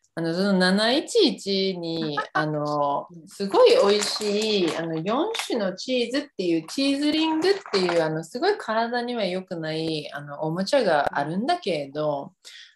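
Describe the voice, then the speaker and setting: A woman's animated, medium-pitched voice with very wide pitch swings, at a fairly slow pace, over noticeable background noise. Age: 30s. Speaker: podcast host. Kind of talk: casual chat. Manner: animated, laughing often.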